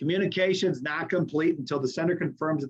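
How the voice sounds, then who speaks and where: A man talks at a very fast pace. His voice sits fairly high. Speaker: university instructor. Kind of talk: lecture. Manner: casual, conversational with filler words.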